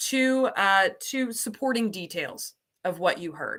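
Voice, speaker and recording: A woman's fairly high, bright, sharp voice with an American accent, an animated tone, ordinary pitch variation and a fairly slow pace. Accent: slight Southern US accent, mostly masked. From US South. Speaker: ESL program coordinator. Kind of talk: online teaching livestream. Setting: livestream.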